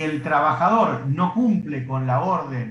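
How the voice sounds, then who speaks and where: A man speaks with lively intonation. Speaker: law teacher. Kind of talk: lecture. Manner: fast.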